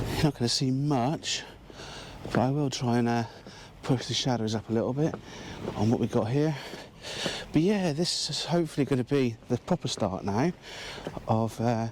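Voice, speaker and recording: With an English accent, a man speaks at a moderate pace and medium pitch, with ordinary pitch variation. Long, frequent pauses break up his speech over noticeable background noise. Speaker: landscape photographer. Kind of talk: vlog narration. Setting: outdoors.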